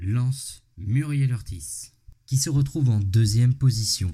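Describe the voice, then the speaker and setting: A man talks at a medium pitch. His voice is somewhat breathy. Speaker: podcast host. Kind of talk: scripted narration. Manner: animated.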